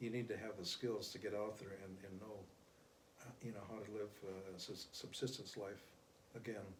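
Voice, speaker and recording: With audible room echo, a man speaks at a fairly low pitch in a monotone, flat way. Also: moderate pace. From US Great Plains, Pine Ridge Reservation, South Dakota. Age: 70s. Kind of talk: interview. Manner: halting, many fillers.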